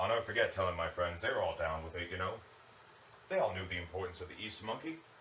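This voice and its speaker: A man speaks with an American accent. The room echo is audible and the background noise is noticeable. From US Midwest, Cook County Illinois. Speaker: contestant doing stand-up. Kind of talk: stand-up.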